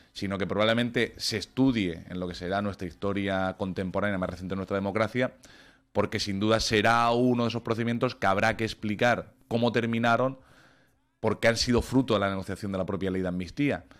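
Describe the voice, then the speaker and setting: The recording is very clean, with a silent background. A man with an unremarkable speaking voice talks fairly low and fairly quickly, his intonation fairly even. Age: 30s. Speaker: lawyer. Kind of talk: radio interview.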